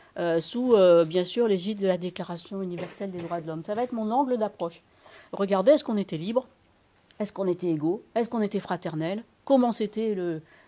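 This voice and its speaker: A woman talks at a fairly quick pace with a dark, mellow tone and medium pitch. Her pitch variation is ordinary, while her loudness swings widely. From Senegal. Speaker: mediator and lecturer on secularism. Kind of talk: lecture. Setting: public meeting with audience. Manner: hesitant, with frequent fillers.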